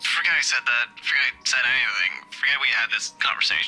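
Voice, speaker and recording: A woman performs a put-on character voice at a fairly quick pace, her loudness very even. Clear music plays in the background. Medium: solo performance. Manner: blunt, terse.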